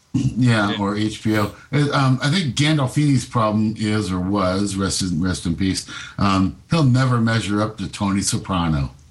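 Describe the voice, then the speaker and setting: An unremarkable speaking voice with an American accent, lively intonation and a fairly slow pace. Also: man, fairly low pitch for a man. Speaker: citizen panel caller.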